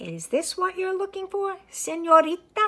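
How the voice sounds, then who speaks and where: In a put-on character voice, a woman squeaks along at a moderate pace with extremely high pitch. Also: fairly even intonation. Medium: read story. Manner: brisk, friendly.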